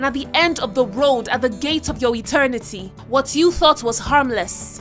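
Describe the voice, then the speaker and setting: With music in the background, a woman talks at a moderate pace in a high-pitched voice with lively intonation. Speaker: spoken word poet. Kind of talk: spoken word poetry performance.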